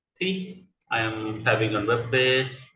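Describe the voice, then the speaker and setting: A man speaks with a strong Indian accent at a medium pitch. His pace is fairly slow. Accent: thick Indian. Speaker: coding instructor. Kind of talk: tutorial. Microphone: audio fading in and out, far from mic.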